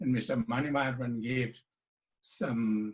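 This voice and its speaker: At a very slow pace, a man with a medium pitch and a somewhat breathy voice keeps his intonation fairly even. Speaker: education expert. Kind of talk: online panel discussion. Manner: soft-spoken.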